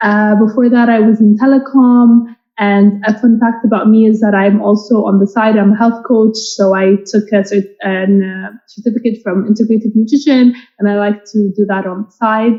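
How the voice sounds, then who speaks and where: A woman's somewhat breathy, fairly high voice at a moderate pace, in a monotone, flat intonation. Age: 20s. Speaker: product manager on a panel. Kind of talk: panel discussion.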